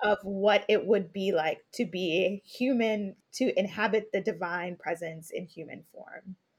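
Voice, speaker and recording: A woman with an American accent at medium pitch, somewhat breathy, fairly slow, with ordinary pitch variation and big swings in loudness. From Brooklyn, New York. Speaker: podcaster and faith leadership coach. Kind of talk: casual discussion.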